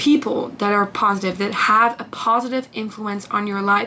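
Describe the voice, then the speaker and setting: Noticeable background noise accompanies a woman with a non-native accent. She uses a medium pitch at a moderate pace. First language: not English. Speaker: lifestyle vlogger. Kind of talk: casual talk to camera. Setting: bedroom. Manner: hesitant, with fillers.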